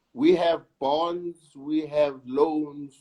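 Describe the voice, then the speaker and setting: A South African accent with ordinary pitch variation. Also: man. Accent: South African (Sesotho-speaking) English. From South Africa, Soweto and Lesotho. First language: Sesotho. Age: 60s. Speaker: actor. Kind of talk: interview.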